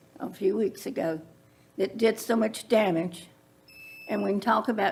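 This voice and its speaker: A woman speaks with a Central Virginia accent. Her pace is fairly slow. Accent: Central Virginia Southern US. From Virginia (Prince Edward County). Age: 70s. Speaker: public commenter, landowner. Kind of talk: public comment at county meeting.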